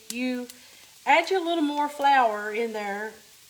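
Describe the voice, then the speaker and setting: A high-pitched woman's voice moves at a fairly slow pace. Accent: Appalachian. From US South, Appalachian Kentucky (Letcher County). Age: 50s. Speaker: home cook, cooking channel host. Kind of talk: live cooking demonstration. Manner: casual, chatty.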